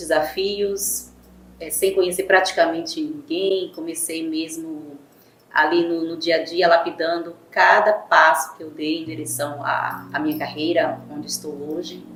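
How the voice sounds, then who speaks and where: In a room with audible echo, a woman speaks at a fairly slow pace with a fairly low pitch, vocal fry and fairly even intonation. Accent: Bahian. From Bahia, Brazil. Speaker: image consultant. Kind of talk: podcast interview.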